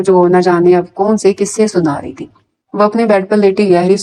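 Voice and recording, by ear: Someone reads aloud, sounding natural. Intonation stays fairly even against a quiet background.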